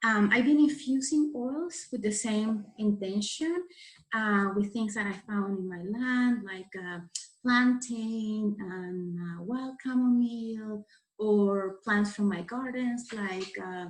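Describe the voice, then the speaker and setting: A woman with a Spanish accent, very slow and somewhat breathy, fairly high in pitch with ordinary pitch variation and big swings in loudness. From Venezuela. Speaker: florist and farmer leading a craft workshop. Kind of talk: tutorial. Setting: recorded video session. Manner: halting, many fillers.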